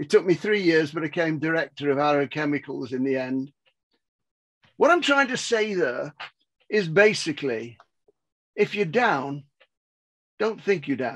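At a moderate pace and with an English accent, a man speaks at a fairly high pitch with lively intonation and long, frequent pauses against a quiet background. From England. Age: 80s+. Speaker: business mentor and author. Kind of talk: motivational talk. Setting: video call. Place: home room. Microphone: headset.

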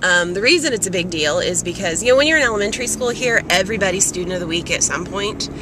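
Noticeable background noise accompanies a woman's voice recorded with a dry sound and no echo. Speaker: vlogger. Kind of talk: casual vlog chat. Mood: proud, warm. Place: car. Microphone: phone near.

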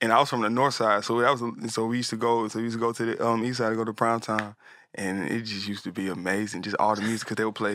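Speaking at a very fast pace, a man delivers a monotone, flat line in a bright, sharp tone, the sound dry with no echo. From US South, Atlanta; US South. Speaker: music producer and artist; guest. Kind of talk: casual interview chat. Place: studio. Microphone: studio mic.

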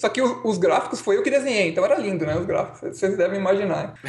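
A high-pitched male voice with ordinary pitch variation, over noticeable background noise. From Brazil, São Paulo. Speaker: software developer. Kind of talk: casual chat.

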